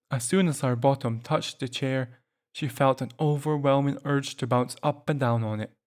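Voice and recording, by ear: A natural voice reading aloud, quiet background behind it.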